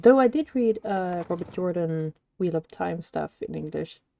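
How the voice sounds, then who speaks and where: With a slight non-native accent, a woman speaks at a moderate pace and a fairly low pitch, using ordinary pitch variation. Her tone is dark and mellow, and the sound is dry and close with no echo. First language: not English. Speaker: streamer. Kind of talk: gameplay stream, reading game text aloud.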